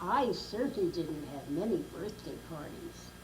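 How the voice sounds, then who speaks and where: A woman with an American accent, noticeable background noise and audible room echo. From Brooklyn, New York. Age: 90s. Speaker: grandmother telling life story. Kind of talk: oral history interview.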